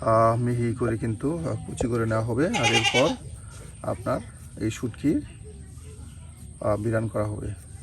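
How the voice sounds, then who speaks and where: A man's medium-pitched voice shows ordinary pitch variation against noticeable background noise. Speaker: village cooking video narrator. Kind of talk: cooking vlog narration.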